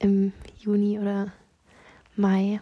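A woman talks in a somewhat breathy voice with a dark, mellow tone. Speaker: personal voice message sender. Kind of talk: personal voice message. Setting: lying on bed in her room. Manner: halting.

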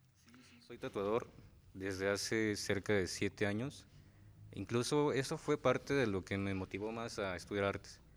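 A man talks at a moderate pace and fairly low pitch with ordinary pitch variation, in a plain, everyday voice. The recording is very clean, with a silent background. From Morelos, Mexico. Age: 20s. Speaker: muralist and tattoo artist. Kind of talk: interview.

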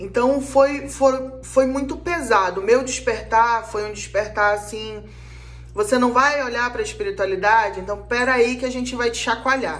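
A woman's high-pitched voice carries along at a moderate speed. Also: ordinary pitch variation. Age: 30s. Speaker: spiritual counselor and podcast host. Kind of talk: casual monologue.

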